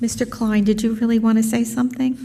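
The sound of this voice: With vocal fry and a dark, mellow tone, a woman talks at a fast pace and a fairly high pitch with little pitch movement over faint background noise.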